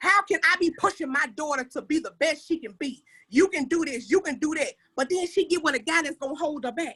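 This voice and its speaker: An animated woman speaks fairly quickly in an extremely high, bright, sharp voice. She projects and raises her voice, with ordinary pitch variation. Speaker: panelist. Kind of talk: casual panel discussion. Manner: loud.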